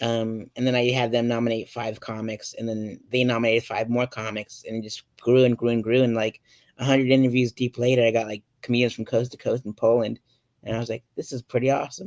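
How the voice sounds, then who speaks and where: A man with an American accent talks at a medium pitch in a monotone, flat intonation, the sound dry and close with no echo. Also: fairly quick pace. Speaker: podcast host. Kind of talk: casual interview. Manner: soft-spoken.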